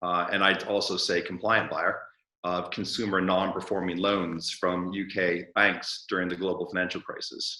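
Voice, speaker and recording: A man with a very deep, low pitch speaks in a bright, sharp tone with monotone, flat intonation. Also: moderate pace. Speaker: investor and entrepreneur. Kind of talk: interview.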